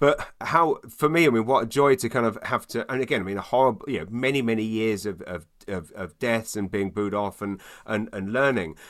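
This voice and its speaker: A man with a London accent speaks at a fairly quick pace in a very clean recording with a silent background. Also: medium pitch for a man, ordinary pitch variation. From London, England. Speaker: stand-up comedian. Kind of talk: casual interview chat. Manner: fast.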